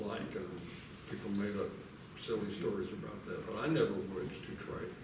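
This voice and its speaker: A man talks with audible echo in the room and noticeable noise behind him. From US South, Nashville, Tennessee. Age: 70s. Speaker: storyteller. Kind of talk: storytelling. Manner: halting.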